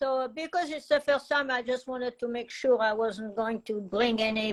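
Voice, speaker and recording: Speaking in a French accent, a woman talks at a moderate pace with a high pitch. The sound is dry and close, with no echo. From France. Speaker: art teacher and meditation guide. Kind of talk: casual interview. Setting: live video call stream. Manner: halting.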